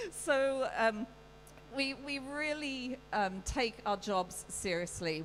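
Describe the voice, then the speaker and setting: With a British accent, a woman speaks using ordinary pitch variation. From UK. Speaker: livestock show judge. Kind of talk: welcome speech.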